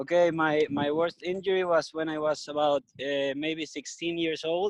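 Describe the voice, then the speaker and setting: This man speaks with a Venezuelan accent at a fairly high pitch and a moderate pace. His intonation is monotone and flat, and the sound is dry and close with no echo. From Venezuela (Margarita / Caracas). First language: Spanish. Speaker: skateboarder, surfer and business owner. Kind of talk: interview. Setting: video call. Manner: halting, hesitant with fillers.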